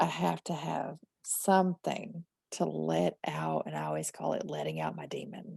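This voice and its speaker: A woman with a slight Southern US accent speaks in a dark, mellow tone with vocal fry and very wide pitch swings, recorded with a dry, close sound and no echo. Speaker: horror writer. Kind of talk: interview conversation. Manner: talkative.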